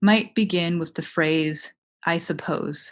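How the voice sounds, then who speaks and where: An unremarkable speaking voice from a woman with an American accent, at a medium pitch with ordinary pitch variation, moves at a fairly slow pace over a quiet background. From United States. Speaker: writer. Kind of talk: poetry reading. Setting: online video event.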